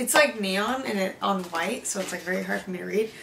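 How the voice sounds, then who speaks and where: Against light background noise, a woman talks with vocal fry and ordinary pitch variation. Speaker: beauty vlogger. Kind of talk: unboxing video, casual chat. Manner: chatty, casual. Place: home room. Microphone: camera far.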